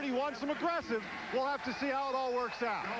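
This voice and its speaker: A man's voice at an extremely high pitch, with ordinary pitch variation and noticeable background noise. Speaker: sideline reporter. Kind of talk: live sideline report.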